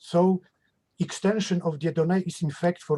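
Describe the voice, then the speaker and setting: A man talks at a moderate pace in a Polish accent, his voice high in pitch with a dark, mellow tone. The sound is dry and close, with no echo. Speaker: mathematician. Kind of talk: academic Q&A. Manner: halting.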